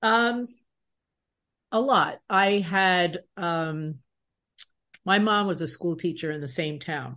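A woman with an American accent talks at a very slow pace, leaving long, frequent pauses. Her voice is fairly low in pitch and bright and sharp in tone, with a quiet background. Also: ordinary pitch variation. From Long Island, New York. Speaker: leadership coach and keynote speaker. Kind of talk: interview.

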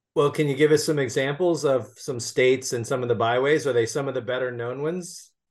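A man talks at a very fast pace with hardly any pauses. His medium-pitched voice has fairly even intonation over a quiet background. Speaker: podcast host and magazine editor. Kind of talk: interview, casual conversation.

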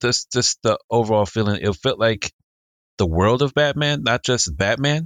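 With a normal speaking voice of medium pitch, a man talks at a moderate pace with lively intonation and very even loudness, in a very clean, dry, close recording with a silent background and no echo. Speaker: podcast co-host. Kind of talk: casual chat.

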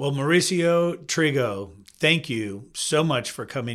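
A man with an ordinary speaking voice, ordinary pitch variation and a fairly slow pace. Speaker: podcast host. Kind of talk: casual interview.

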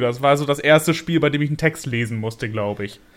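A man talks at a fairly quick pace with lively intonation. It is a normal speaking voice. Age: 20s. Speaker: YouTuber. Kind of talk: casual chat.

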